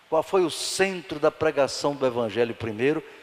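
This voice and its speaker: A man's fairly high-pitched voice with very wide pitch swings, over noticeable background noise. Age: 70s. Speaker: pastor. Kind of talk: Bible study sermon. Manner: animated.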